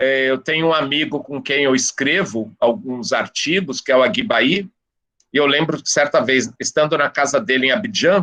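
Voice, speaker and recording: Lively intonation and a bright, sharp tone carry this voice along at a moderate pace. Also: man, fairly high pitch for a man. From São Paulo, Brazil (east zone). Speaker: professor. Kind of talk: guest talk in discussion circle.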